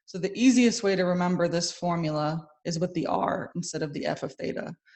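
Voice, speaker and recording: In a normal speaking voice, a woman talks at a moderate pace. Her pitch is fairly low, with ordinary pitch variation. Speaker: math instructor. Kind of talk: lecture.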